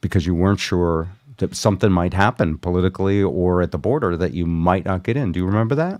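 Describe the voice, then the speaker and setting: Against a quiet background, a man speaks at a very fast pace. His voice is very deep and low, with ordinary pitch variation. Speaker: radio show host. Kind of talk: casual radio banter, talking live on a livestream.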